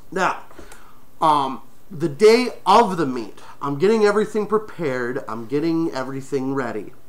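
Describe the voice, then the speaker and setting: Noticeable background noise is present. The speaker keeps a moderate pace. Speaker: furry talk show host. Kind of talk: personal storytelling. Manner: stutters.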